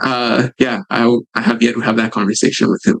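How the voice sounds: A man's medium-pitched voice at a fairly quick pace, with little pitch movement.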